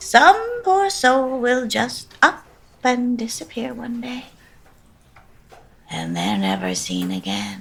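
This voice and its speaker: Doing a put-on character voice, a woman speaks at a very slow pace with long, frequent pauses and big swings in loudness. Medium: audio drama. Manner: menacing, falsely sweet.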